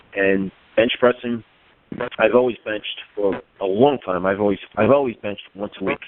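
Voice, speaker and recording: At a fairly quick pace, a man with an unremarkable speaking voice talks at a fairly low pitch with fairly even intonation. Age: 50s. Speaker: powerlifter and firefighter. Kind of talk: casual interview chat.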